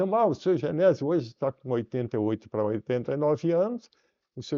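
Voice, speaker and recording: A man with a fairly high pitch and very wide pitch swings at a moderate pace. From southern Brazil, Santa Catarina (Tubarão area). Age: 80s+. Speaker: company founder, businessman. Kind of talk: interview.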